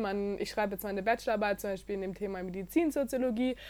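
A woman speaks in a fairly high pitch with a dark, mellow tone. Her pitch varies in an ordinary way. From Bavaria (near Munich). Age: 20s. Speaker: university student. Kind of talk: interview.

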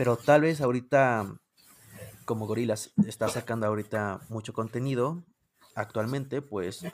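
A man with a medium pitch talks with fairly even intonation and at a moderate pace, on a very clean recording over a silent background. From Mexico. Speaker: music YouTuber. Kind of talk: casual interview chat.

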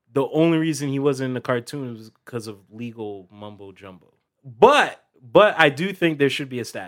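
A man's plain, everyday voice at a medium pitch, with lively intonation, big swings in loudness, and a moderate pace. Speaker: podcast co-host.

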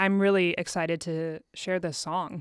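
A woman with a normal speaking voice and medium pitch talks at a moderate pace with an American accent, the sound dry and close with no echo. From US Midwest, Dayton, Ohio. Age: 20s. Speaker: singer-songwriter. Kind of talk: casual interview chat. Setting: studio.

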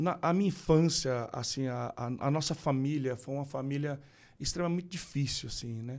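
A fairly high-pitched man at a fairly slow pace with ordinary pitch variation, in a very clean recording over a silent background. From Brazil, Rondônia and Mato Grosso do Sul. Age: 40s. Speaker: pastor. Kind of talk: casual chat.

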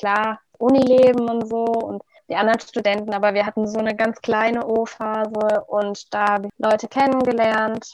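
With a monotone, flat intonation, a woman talks at a fairly high pitch. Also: moderate pace, hardly any pauses. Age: 20s. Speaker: first-year university student. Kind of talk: casual interview.

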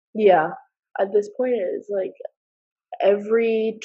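With a New Jersey accent, a woman speaks at a medium pitch with ordinary pitch variation. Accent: American (New Jersey). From US, New Jersey. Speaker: university student. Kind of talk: casual chat.

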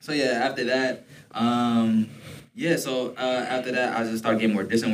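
A man with an American accent, medium in pitch with ordinary variation, over noticeable background noise. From Detroit, Michigan. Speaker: podcast host, university student. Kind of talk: casual chat, faith testimony.

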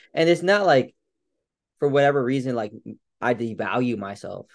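An unremarkable speaking voice from a man at a fairly quick pace, with ordinary pitch variation and a quiet background. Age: 30s. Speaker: strength coach. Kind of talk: casual chat.

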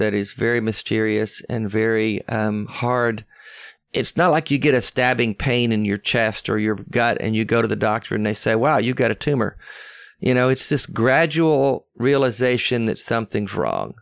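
A man with a Southern US accent speaks at medium pitch and a moderate pace in a very clean recording with a silent background. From US South. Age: 60s. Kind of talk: casual interview chat. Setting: in person.

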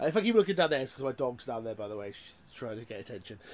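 A man speaks with a British accent. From UK. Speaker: gaming podcast host. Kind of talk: casual chat. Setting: video call.

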